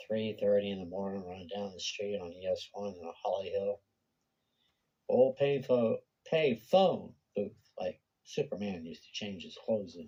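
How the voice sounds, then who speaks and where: A man talks at a moderate pace. His loudness swings a lot. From Florida, Daytona Beach. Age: 60s. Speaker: YouTuber. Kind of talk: personal monologue video. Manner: casual, unscripted.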